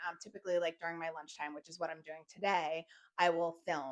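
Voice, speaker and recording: A woman is talking. Her voice has a medium pitch. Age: 40s. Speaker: lifestyle vlogger. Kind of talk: personal vlog monologue. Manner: frequent fillers like um and like; sometimes stumbles over words.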